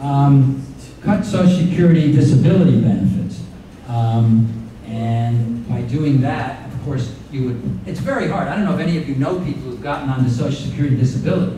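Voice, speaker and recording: With an American accent, a man speaks fairly quickly at medium pitch and lively intonation, amid audible room echo and noticeable background noise. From Florida, Miami Beach. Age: 70s. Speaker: retired advocacy lawyer. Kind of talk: talk to a club audience. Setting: club meeting with audience. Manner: hesitant, many fillers.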